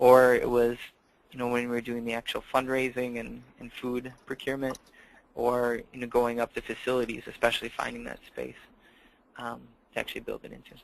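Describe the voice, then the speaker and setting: Talking at a fairly quick pace in a Minnesotan accent, a man at medium pitch has monotone, flat intonation and big swings in loudness. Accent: Minnesota. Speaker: campus food program director. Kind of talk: webinar presentation. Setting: online webinar call.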